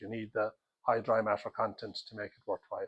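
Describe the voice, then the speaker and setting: In an Irish accent, a man talks at a moderate pace, the sound dry and close with no echo. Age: 60s. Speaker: dairy farmer. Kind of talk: interview.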